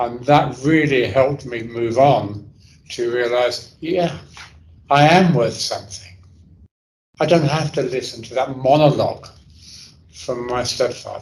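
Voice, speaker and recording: A man with a London accent talks at a fairly slow pace with long, frequent pauses, a somewhat breathy medium-pitched voice and ordinary pitch variation, with audible room echo around him. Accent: London English (Cockney-leaning). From London, England. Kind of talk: talk to an audience.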